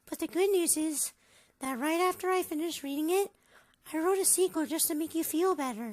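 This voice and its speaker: A squeaky, extremely high put-on character voice at a fairly quick pace. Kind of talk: fan voice acting. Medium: machinima.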